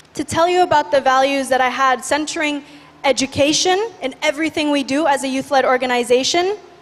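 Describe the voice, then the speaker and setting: A high-pitched woman speaks fairly quickly as noticeable background noise carries on behind her. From Indonesia, Bali. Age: 20s. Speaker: youth activist. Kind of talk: conference talk. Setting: stage with audience. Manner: energetic.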